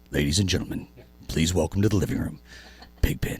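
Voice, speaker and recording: A man booms in a put-on character voice with a very deep, low pitch. He talks at a very fast pace with lively intonation. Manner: announcing, showman-like.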